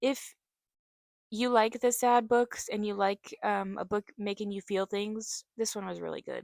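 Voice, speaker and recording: A woman speaks at a fairly high pitch and fairly slow pace in a monotone, flat intonation, with a dry, close sound and no echo. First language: sign language (deaf family). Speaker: author and book vlogger. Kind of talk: casual book recommendation vlog. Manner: casual with frequent fillers (um, like).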